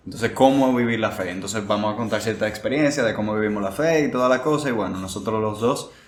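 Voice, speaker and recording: Over music in the background and with audible room echo, a man speaks at medium pitch with fairly even intonation. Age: young. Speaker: podcast host. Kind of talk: casual chat.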